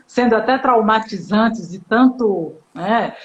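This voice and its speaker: A woman with a Bahian accent speaks in a fairly high pitch. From Bahia, Brazil. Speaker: psychoanalyst and live-stream host. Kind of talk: casual chat. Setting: online live stream.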